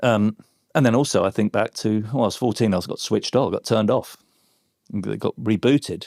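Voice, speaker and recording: Speaking at a fairly quick pace with an English accent, a man is heard in a very clean recording with a silent background and dry, close sound with no echo. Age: 60s. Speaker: former advertising creative. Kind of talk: podcast interview. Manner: animated.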